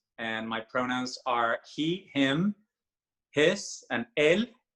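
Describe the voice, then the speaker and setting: A man speaks with a Spanish accent at a very slow pace. His fairly high pitch carries lively intonation and a bright, sharp tone. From Mexico. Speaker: singer. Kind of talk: casual chat.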